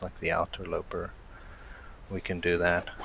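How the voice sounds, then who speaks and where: Noticeable background noise sits behind the speaker. The delivery is at a moderate pace in a South African accent. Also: man. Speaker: gaming streamer. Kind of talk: live gameplay commentary. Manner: flat intonation; casual, with many fillers.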